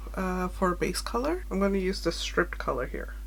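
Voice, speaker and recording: Over audible room echo, a woman talks at a moderate pace. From Sri Lankan heritage, grew up in Germany. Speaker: beauty vlogger. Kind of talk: makeup tutorial with personal storytime. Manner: casual, rambling.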